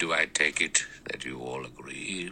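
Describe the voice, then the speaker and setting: A man's put-on character voice at a moderate pace over clear background noise. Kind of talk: courtroom speech. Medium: read story. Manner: measured, precise, authoritative.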